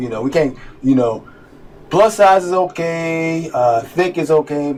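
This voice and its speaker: The voice belongs to a man. His pitch is high. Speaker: reaction video host. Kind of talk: casual chat. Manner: halting; loud.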